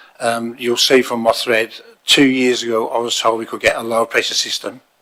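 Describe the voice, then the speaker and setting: His voice has a bright, sharp tone at a medium pitch. The man keeps a moderate pace and a monotone, flat intonation. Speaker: submitter at council hearing. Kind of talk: public submission. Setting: council chamber, in person.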